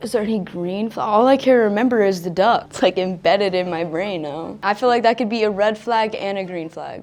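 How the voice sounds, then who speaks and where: Over music in the background, a woman with an American accent speaks at medium pitch and a fairly quick pace, with hardly any pauses. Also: ordinary pitch variation. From Florida. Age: 20s. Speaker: blind date contestant. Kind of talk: casual chat.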